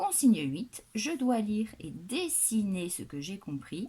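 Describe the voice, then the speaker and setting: A woman speaks at a medium pitch in a southwestern French accent, her dark, mellow tone somewhat breathy and her pitch swinging very widely. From southwestern France. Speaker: primary school teacher. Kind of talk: tutorial. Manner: instructional, deliberate.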